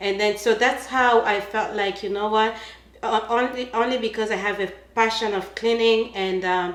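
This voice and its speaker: With a Congolese accent, a woman speaks in a monotone, flat way at medium pitch and a moderate pace. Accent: African (Congolese). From Congo, Central Africa. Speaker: cleaning business owner. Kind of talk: casual interview chat. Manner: hesitant, many fillers.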